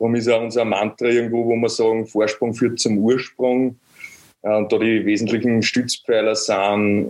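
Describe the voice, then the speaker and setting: The speaker has an Upper Austrian accent. The intonation is monotone and flat. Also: man. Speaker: construction startup founder. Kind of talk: interview.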